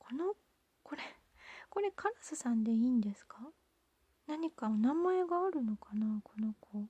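Whispering in a gentle tone, the speaker goes at a fairly slow pace with long, frequent pauses, and the sound is dry with no echo. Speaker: ASMR channel host. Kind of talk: soft-spoken ASMR candy unboxing talk. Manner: whispered, gentle. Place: home room.

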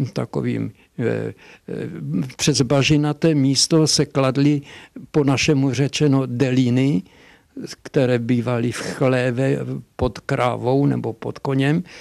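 In a dry sound with no echo and a quiet background, a man speaks at a very slow pace with fairly even intonation and long, frequent pauses. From Hošťálkovice, Silesia, Czech Republic. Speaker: dialectologist and professor. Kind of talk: interview answer. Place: office. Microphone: handheld.

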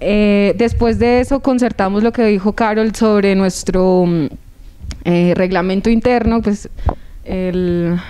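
This is a woman's voice. Her intonation is fairly even. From Colombia. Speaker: youth council member. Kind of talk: TV interview. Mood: hopeful, happy. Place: studio. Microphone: handheld.

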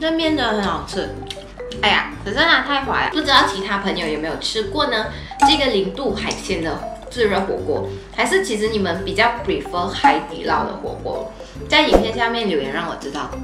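Clear music plays in the background. The speaker goes at a moderate pace. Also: woman. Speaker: food vlogger. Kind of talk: casual vlog chat. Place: home room.

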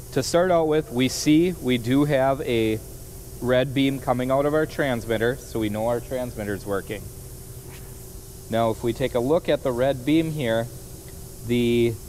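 A man at a moderate pace, with ordinary pitch variation, long, frequent pauses, and light background noise. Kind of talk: tutorial. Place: workshop.

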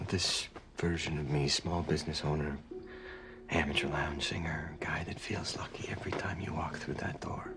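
A man whispers, keeping his pace moderate. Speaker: drama actor. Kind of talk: scripted drama dialogue. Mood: earnest, tender, pleading. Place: home room.

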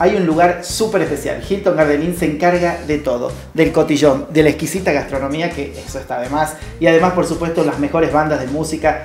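A man talks at a very fast pace with fairly even intonation, with light background noise and audible room echo. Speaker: TV show co-host. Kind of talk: advertising promo read to camera. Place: studio.

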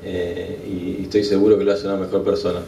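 Over light background noise and audible room echo, a man talks at a moderate pace. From Argentina, San Isidro area. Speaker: Olympic medalist sailor. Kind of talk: thank-you speech. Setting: awards event with live audience. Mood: grateful, humble. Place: hall. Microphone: podium.

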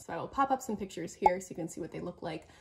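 In a Canadian accent, a woman speaks with lively intonation and a somewhat breathy voice. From Canada. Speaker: knitting YouTuber. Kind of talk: casual solo vlog monologue. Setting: solo video recorded to camera. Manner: fast talker; animated. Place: home room.

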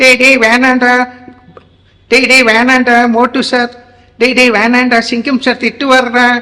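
A put-on character voice at a fairly high pitch speaks at a fairly slow pace. The intonation stays monotone and flat. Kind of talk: voice modulation demo. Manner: scolding.

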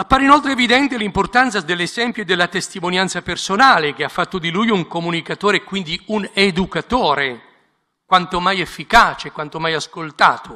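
A man talks very fast in a raised, projected, high voice. His tone is bright and sharp, with lively intonation. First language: Italian. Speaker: bishop. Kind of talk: prepared speech.

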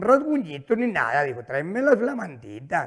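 Against a quiet background, a man talks in an animated, playful tone. His pitch is high for a man. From northern Mexico. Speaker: stand-up comedian. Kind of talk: stand-up comedy, rural joke-telling with an audience. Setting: stage with audience. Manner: animated, rapid-fire storyteller who acts out dialogue with 'dijo' repetition; colloquial, with stutters and repeated words, coarse and playful. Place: studio. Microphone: handheld.

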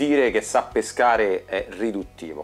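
With faint music in the background, a man talks with ordinary pitch variation. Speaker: fishing channel host. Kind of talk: casual vlog intro. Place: home room. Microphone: lapel.

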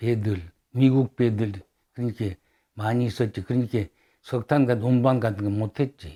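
A man's medium-pitched voice, dark and mellow in tone, with fairly even intonation and a dry, close sound with no echo on a very clean recording against a silent background. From Sakhalin, Russia. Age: 80s+. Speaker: oral history narrator, Sakhalin Korean. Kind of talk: oral history interview. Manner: halting.

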